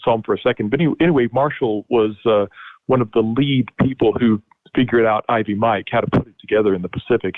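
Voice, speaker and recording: A man at medium pitch talks at a very fast pace. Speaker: historian. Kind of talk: webinar lecture. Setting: online webinar.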